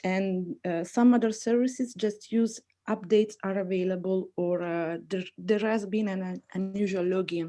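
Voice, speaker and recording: A woman speaks with a non-native accent at a medium pitch, her tone dark and mellow. Her pace is moderate and her pitch varies in an ordinary way. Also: quiet background. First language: not English. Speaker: webinar attendee asking question. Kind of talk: audience question.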